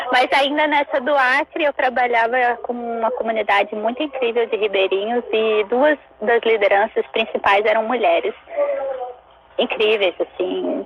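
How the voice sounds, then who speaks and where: Speaking at a fairly slow pace with ordinary pitch variation, a woman with a fairly high pitch is heard over noticeable background noise. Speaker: zero-waste researcher and chocolate maker. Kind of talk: casual interview chat. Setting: online live stream.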